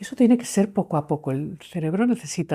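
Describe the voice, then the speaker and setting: The voice has a dark, mellow tone with very wide pitch swings. It moves at a moderate pace. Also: woman. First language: English (speaking Spanish). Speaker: clinical psychologist and author. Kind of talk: interview conversation.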